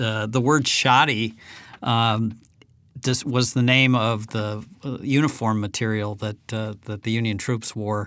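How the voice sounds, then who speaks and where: At a fairly slow pace and medium pitch, a man speaks with ordinary pitch variation in a plain, everyday voice. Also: very clean recording, silent background. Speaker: podcast host. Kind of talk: interview.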